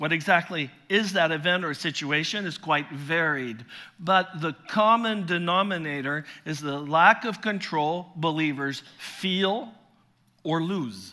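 The man's voice is high-pitched, with a bright, sharp tone. He speaks at a fairly slow pace with ordinary pitch variation. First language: French. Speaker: visiting pastor and preacher. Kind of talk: sermon. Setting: church.

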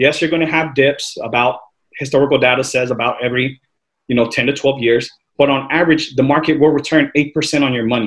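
Using a plain, everyday voice, a man talks fairly quickly at a fairly high pitch. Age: 30s. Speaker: finance professional panelist. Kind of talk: panel discussion. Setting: video call.

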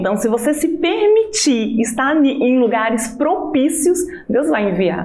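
A woman speaks fairly slowly in a high voice with very wide pitch swings, amid noticeable background noise and audible room echo. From Alagoas, northeast Brazil. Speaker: businesswoman. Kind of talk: testimony.

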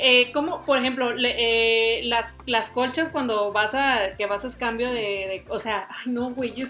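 Speaking at a very slow pace with hardly any pauses, a woman uses a high, bright, sharp voice with fairly even intonation. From Mexico, Tampico, Tamaulipas. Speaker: podcast co-host. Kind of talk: casual chat.

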